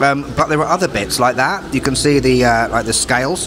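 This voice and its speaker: A man talks with ordinary pitch variation while noticeable background noise runs beneath. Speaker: food vlogger. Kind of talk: casual vlog chat. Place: cafe. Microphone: phone near.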